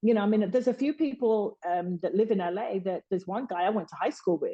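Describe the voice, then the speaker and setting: Woman with a Birmingham accent and a dark, mellow tone, at a moderate pace with ordinary pitch variation. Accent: Birmingham (Brummie). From Birmingham, England. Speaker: boxing publicist. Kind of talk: podcast interview answer. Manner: candid, emotional.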